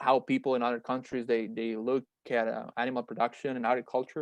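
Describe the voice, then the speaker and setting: A man with a Spanish accent talks at a fairly quick pace, the sound dry and close with no echo. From Mexico, Monterrey. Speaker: meat science researcher and startup founder. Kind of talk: webinar presentation. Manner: halting, many fillers and repetitions.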